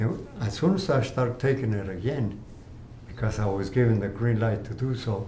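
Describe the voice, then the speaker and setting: Man with a medium pitch, ordinary pitch variation and a moderate pace, with audible room echo. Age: 80s+. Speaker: cancer patient. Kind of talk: interview. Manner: halting.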